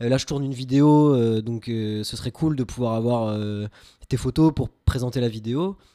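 A dark, mellow tone at a moderate pace, with ordinary pitch variation, in a very clean recording against a silent background. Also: man, medium pitch for a man. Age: 20s. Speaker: web developer and amateur film photographer. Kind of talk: casual chat. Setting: home studio.

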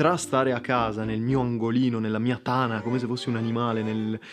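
Over noticeable background noise, a man of medium pitch speaks at a fairly quick pace with fairly even intonation. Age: 20s. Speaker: podcast host. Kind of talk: casual monologue. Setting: at home.

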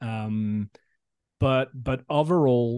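Against a quiet background, a man with a French accent speaks at medium pitch in a dark, mellow tone with fairly even intonation, the sound dry and close with no echo. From France. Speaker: recruitment tech startup founder. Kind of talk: interview.

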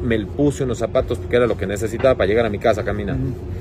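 A man speaks with lively intonation at a medium pitch. Noticeable noise runs in the background. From Ecuador, Cuenca. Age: 40s. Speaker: fashion designer. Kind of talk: interview.

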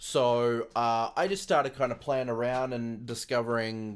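Here a man talks at a fairly slow pace. His voice sits at a medium pitch. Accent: American. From Australia. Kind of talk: casual interview. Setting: remote call.

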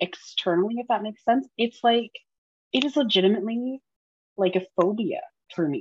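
A woman speaks at a moderate pace with lively intonation, her voice somewhat breathy and fairly high in pitch. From small town. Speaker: podcast co-host. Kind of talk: casual chat.

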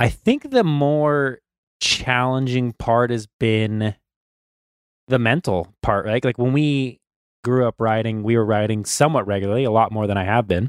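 In an ordinary speaking voice, a man talks at medium pitch and a moderate pace with ordinary pitch variation, the sound dry and close with no echo. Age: 30s. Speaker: motocross podcast co-host, amateur rider. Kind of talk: casual chat. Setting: home basement, video call.

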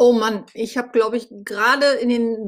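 A woman speaks at a fairly high pitch. Her pace is very slow. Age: 50s. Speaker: podcast host, blogger. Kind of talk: personal monologue. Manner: hesitant, with fillers.

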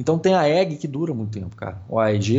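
A man with a plain, everyday voice, fairly high pitch, and a fairly quick pace. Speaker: podcast co-host, airsoft player. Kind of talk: casual chat.

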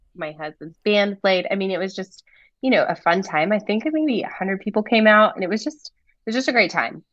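A woman with an American accent speaks at a fairly quick pace. She has an unremarkable speaking voice at a medium pitch. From US South, North Carolina. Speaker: event business owner, former ocean engineer. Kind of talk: casual interview.

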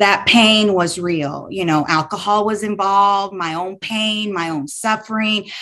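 Her tone bright and sharp, a woman at medium pitch speaks at a fairly slow pace with hardly any pauses and fairly even intonation. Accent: American. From Texas, Houston. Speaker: business owner sharing faith story. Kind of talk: testimony.

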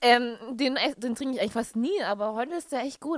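A woman's voice is fairly high. She talks very fast. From Bavaria, near Nuremberg (Franconia). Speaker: podcast co-host, musical theatre student. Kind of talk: casual chat. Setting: Skype call.

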